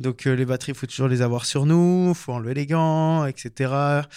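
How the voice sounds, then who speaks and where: A man at fairly high pitch, fairly slow pace and fairly even intonation, in a very clean recording with a silent background. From French Alps (Hautes-Alpes, Embrun). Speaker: professional skier and filmmaker. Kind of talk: interview. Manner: hesitant, many fillers.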